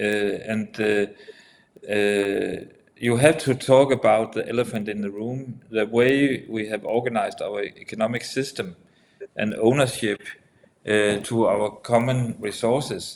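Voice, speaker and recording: A man speaks with a Danish accent, his intonation fairly even. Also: medium pitch for a man, fairly slow pace. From Denmark. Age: 70s. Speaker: entrepreneur, former politician. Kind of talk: casual discussion. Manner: halting.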